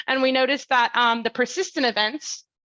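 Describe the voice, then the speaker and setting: The voice has ordinary pitch variation and a bright, sharp tone, recorded with a dry, close sound with no echo over a quiet background. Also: woman. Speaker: climate science researcher. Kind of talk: academic talk. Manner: fast; many filler ums.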